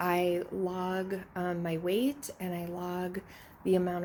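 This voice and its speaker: Soft-spoken, a woman talks at a fairly low pitch. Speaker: fitness vlogger. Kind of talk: casual vlog narration.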